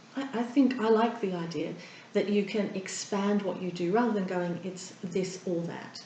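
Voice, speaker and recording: Amid noticeable background noise, a woman with an Australian accent speaks at a moderate pace and medium pitch. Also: ordinary pitch variation. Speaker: therapist and breathing coach. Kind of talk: interview answer.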